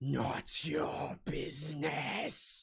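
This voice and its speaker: A man whispers in a put-on character voice that is raspy and hissing. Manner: hissing, menacing.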